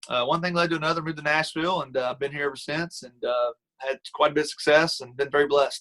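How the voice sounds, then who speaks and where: A man talks at a very fast pace in an American accent, his pitch fairly high. His tone is bright and sharp, and his intonation stays fairly even. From Kentucky (Taylorsville, near Louisville). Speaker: country singer. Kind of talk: interview.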